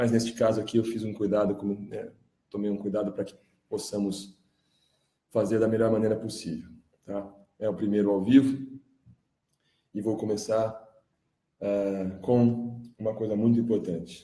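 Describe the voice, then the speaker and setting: At a moderate pace, a man with a dark, mellow tone and fairly low pitch speaks in a monotone, flat way, leaving long, frequent pauses. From Brazil. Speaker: independent journalist and music producer. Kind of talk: live stream monologue. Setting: live stream.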